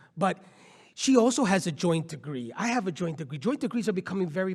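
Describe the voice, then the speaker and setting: A loud, animated man with a high voice and lively intonation at a fairly quick pace, in a very clean recording with a silent background. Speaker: nonprofit CEO and law professor. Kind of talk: panel discussion. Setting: conference stage with audience.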